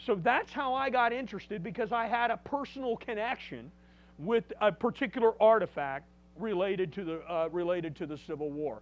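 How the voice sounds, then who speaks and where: The voice is loud, with lively intonation and a moderate pace. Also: man. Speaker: museum director and battlefield guide. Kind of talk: public lecture.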